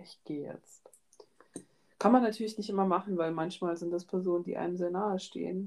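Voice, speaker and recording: A woman speaks at a fairly quick pace and medium pitch with fairly even intonation, big swings in loudness and long, frequent pauses. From Georgia, raised in Germany. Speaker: student podcast co-host. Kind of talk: casual chat.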